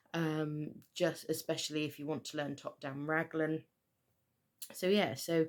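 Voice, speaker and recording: A woman with a West Country accent speaks in a very deep, low pitch. The recording is very clean, with a silent background. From Southwest England. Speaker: knitter and yarn dyer. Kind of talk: casual talk to camera.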